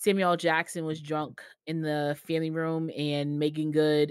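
Against a quiet background, a woman with a very deep, low voice speaks at a very slow pace, the sound dry with no echo. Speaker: podcast co-host. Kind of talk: casual chat. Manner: quiet, mellow in everyday talk. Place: home room. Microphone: video call.

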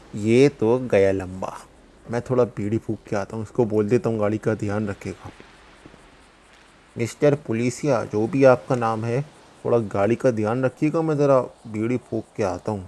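A rumbling, put-on character voice from a man at a medium pitch and moderate pace. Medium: machinima. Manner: grumbling, lazy, irritated.

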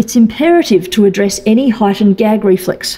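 Dark, mellow and somewhat breathy, a woman's voice moves at a moderate pace with ordinary pitch variation. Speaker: presenter. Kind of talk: lecture. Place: hall. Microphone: podium.

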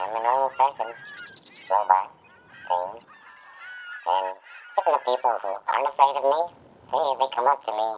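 In a put-on character voice at a low-to-middle pitch, the speaker keeps a moderate pace broken by long, frequent pauses. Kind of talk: comedic character monologue. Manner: rambling, hesitant.

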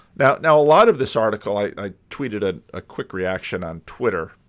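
A man talks against a quiet background. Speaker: commentator. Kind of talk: commentary. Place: home room. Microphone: studio mic.

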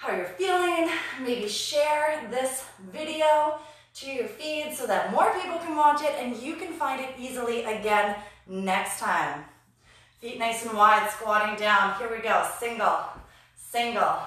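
A woman with a high pitch speaks at a fairly slow pace, her loudness swinging widely amid strong room echo. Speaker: fitness instructor. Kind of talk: live workout instruction and counting. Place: gym. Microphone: camera far.

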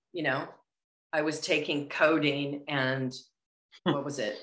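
A woman with an American accent speaks at a fairly slow pace. Room echo is audible against a quiet background. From Los Angeles, US. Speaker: actress and former model; actress. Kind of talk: interview. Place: home room. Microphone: earbuds.

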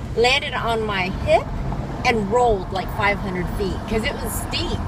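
Over noticeable background noise, a woman's voice comes through dry, with no echo. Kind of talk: casual vlog chat. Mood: animated, amused storytelling. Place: car. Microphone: phone near.

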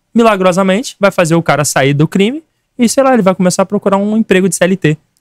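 The pace is fairly quick. The sound is dry with no echo, and the background is quiet. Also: man. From Rio de Janeiro. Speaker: political activist; podcast guest. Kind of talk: podcast debate. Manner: animated. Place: studio. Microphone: studio mic.

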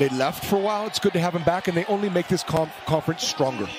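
Noticeable background noise sits behind a dry sound with no echo, and the voice shows ordinary pitch variation. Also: man. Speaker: color analyst, former coach. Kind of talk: live sports commentary analysis. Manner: conversational, enthusiastic, coach-like. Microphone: headset.

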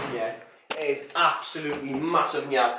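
A man speaks at a fairly high pitch with a fairly bright tone. Room echo is audible.

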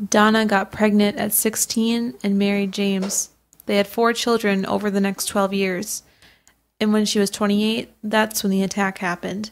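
This woman talks at a medium pitch with a monotone, flat intonation. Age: 20s. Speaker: true crime podcast co-host. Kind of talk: scripted narration.

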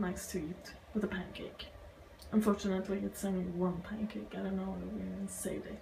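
Noticeable background noise accompanies a woman whose pitch is medium. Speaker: vegan cooking vlogger. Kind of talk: casual talk to camera.

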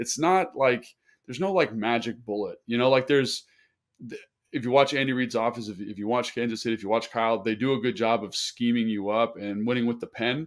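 A fairly quick man's voice, medium in pitch, with ordinary pitch variation. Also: quiet background. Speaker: sports podcast co-host, former NFL tight end. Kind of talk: casual sports analysis chat. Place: home room. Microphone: earbuds.

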